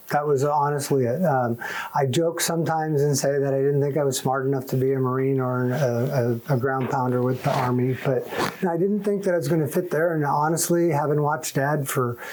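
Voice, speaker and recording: Through audible room echo and noticeable background noise, a man talks at a fairly quick pace with very even loudness and fairly even intonation. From US, moved often (Michigan, Massachusetts, California). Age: 60s. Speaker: Air Force veteran. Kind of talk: oral history interview. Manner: casual, with frequent fillers.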